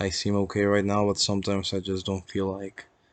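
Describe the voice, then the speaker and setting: This is a man whose voice sits at a fairly low pitch. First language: Spanish. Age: 20s. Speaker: vlogger. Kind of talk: casual personal vlog. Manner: halting.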